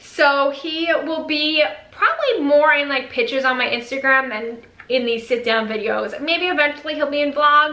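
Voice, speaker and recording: A woman with a New York accent speaks in a raised, projected voice at a high pitch, with audible room echo and noticeable background noise. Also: ordinary pitch variation, moderate pace. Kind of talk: casual vlog, reading viewer comments. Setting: home video recording with ring light.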